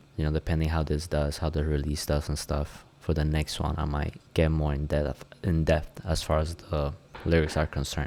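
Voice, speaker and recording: A man with a Spanish accent speaks at a moderate pace in a dark, mellow tone, his very deep, low voice staying monotone and flat. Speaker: music producer and rapper. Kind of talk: tutorial. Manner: casual, relaxed.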